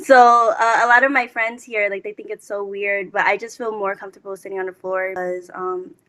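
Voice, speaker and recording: A woman with a Lao accent speaks at a fairly quick pace and medium pitch, her tone bright and sharp. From United States, Laotian-American family. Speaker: HBCU student panelist. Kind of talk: panel discussion. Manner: casual, hesitant with many fillers.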